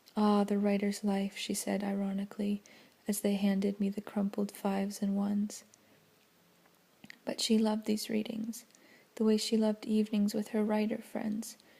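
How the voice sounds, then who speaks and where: The soft-spoken voice moves at a moderate pace, broken by long, frequent pauses. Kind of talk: audiobook-style reading of a novel, ASMR. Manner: soft-spoken, relaxing.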